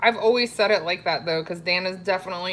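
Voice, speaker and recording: A woman with a slight Florida accent, medium pitch and fairly quick pace, over noticeable background noise. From South Florida, Broward County. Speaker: live-stream host, keto cooking channel. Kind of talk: casual live-stream chat with viewers. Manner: chatty, conversational.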